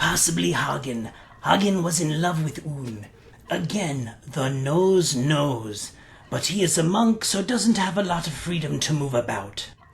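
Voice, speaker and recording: A put-on character voice at middle pitch and moderate pace. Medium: game stream. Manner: rambling, crude, talks of self by name.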